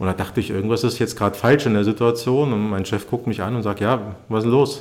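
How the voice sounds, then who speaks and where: A man speaks in an unremarkable speaking voice at medium pitch. His pace is fairly quick, with ordinary pitch variation. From East Germany. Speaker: youth football coach and podcast host. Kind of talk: casual chat.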